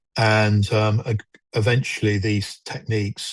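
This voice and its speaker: A man with a fairly low, somewhat breathy voice speaks at a fairly slow pace, recorded dry and close with no echo against a quiet background. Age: 60s. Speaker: mental health charity walker. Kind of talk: interview. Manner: halting.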